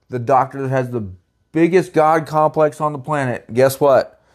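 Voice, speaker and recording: The man's voice sits fairly high, and his pitch moves in an ordinary way. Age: 30s. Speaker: podcast co-host trying to conceive. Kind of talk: casual chat.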